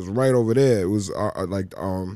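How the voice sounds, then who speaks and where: A man's fairly low voice, dark and mellow in tone with ordinary pitch variation, on a very clean recording with a silent background. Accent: American. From Cambridge, Massachusetts. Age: 40s. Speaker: rapper. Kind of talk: casual chat. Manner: halting, repeats words.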